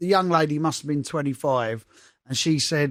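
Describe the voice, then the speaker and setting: Here a man talks in an English accent. His pitch is fairly high. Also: very clean recording, silent background. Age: 50s. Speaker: DJ and podcast host. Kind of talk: casual chat. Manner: animated.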